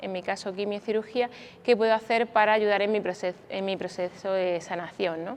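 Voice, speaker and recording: A woman with a medium pitch speaks at a very fast pace in a fairly even intonation. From Spain, Granada (Andalusia). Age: 40s. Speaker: doctor and cancer survivor speaker. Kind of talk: conference talk.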